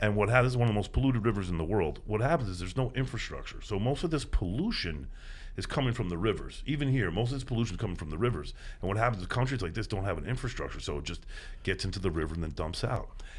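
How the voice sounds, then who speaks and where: A man's somewhat breathy, animated voice at a medium pitch, with lively intonation, a very fast pace and audible room echo. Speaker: environmental activist, beach cleanup organizer. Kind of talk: podcast interview.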